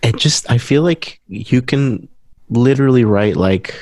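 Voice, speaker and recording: A man talks at a very slow pace with ordinary pitch variation. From Guatemala. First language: Spanish. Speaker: musician. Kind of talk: interview. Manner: halting.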